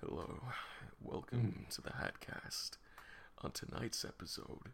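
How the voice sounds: A raspy, put-on character voice from a man, medium in pitch and fairly slow in pace, over clear background noise.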